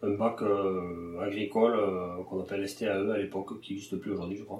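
The man's voice is fairly low, and he takes his time at a fairly slow pace. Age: 30s. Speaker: livestock farmer. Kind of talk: interview. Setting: farm. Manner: hesitant, many fillers.

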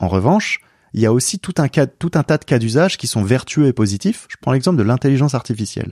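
Recorded very cleanly against silence with a dry, close sound and no echo, a man talks very fast at medium pitch. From rural France. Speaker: entrepreneur and researcher. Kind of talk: interview conversation. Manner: halting, with repetitions.

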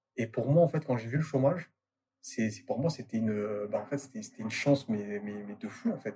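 Somewhat breathy and dark, mellow in tone, a man talks at medium pitch with lively intonation. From Marseille, southern France. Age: 20s. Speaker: entrepreneur. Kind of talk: casual interview. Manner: halting, many fillers.

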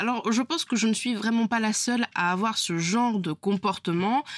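The pace is fairly slow, the pitch shows ordinary variation, and the sound is dry and close with no echo. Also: woman. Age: 20s. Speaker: podcast host, freelance web designer. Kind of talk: solo podcast monologue. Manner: casual, conversational with hesitations.

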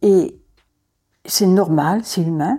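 The woman's tone is dark and mellow, with medium pitch and fairly even intonation. She talks at a very slow pace in a very clean recording with a silent background. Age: 70s. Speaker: foster mother. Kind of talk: testimony. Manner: halting.

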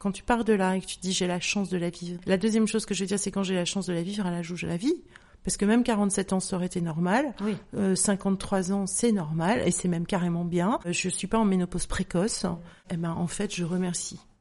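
At a fairly quick pace, a woman talks in an unremarkable speaking voice, medium in pitch with fairly even intonation. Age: 50s. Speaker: author and menopause awareness account creator. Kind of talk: testimony.

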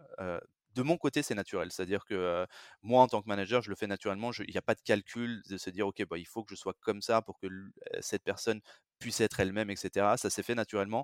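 At a very fast pace, a man speaks in a fairly low pitch with fairly even intonation, the sound dry and close with no echo. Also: very clean recording, silent background. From France. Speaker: recruitment manager. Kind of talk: interview. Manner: halting, many repetitions.

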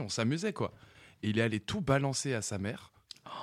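A man talks fairly quickly in a very clean recording with a silent background. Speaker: studio technician and co-producer. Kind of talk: casual radio chat.

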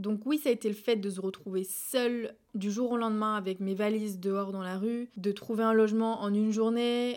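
With an unremarkable speaking voice, a woman at a fairly high pitch speaks at a moderate pace with fairly even intonation, in a very clean recording with a silent background. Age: 20s. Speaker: podcaster. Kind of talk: personal monologue.

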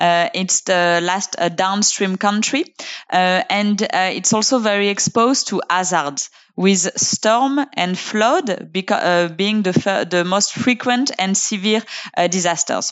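A woman's medium-pitched voice with a French accent, very slow and very even in loudness, with ordinary pitch variation. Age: 30s. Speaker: UN climate and circular economy officer. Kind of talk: interview.

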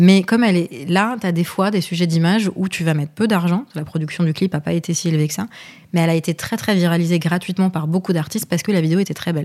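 A woman talks at a very fast pace with fairly even intonation. Her pitch is fairly low. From Lebanon, raised in Paris from childhood. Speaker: marketing and communication director. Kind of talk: podcast interview.

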